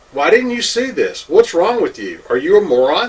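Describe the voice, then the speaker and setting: Male speech at a moderate pace over noticeable background noise. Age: 60s. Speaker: home inspector. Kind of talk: opinion monologue. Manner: animated.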